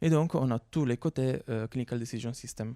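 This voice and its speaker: An Italian accent with a dark, mellow tone and ordinary pitch variation, dry and close with no echo. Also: man. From Italy. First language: Italian (speaking French). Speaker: researcher. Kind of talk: conference talk. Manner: hesitant, many fillers.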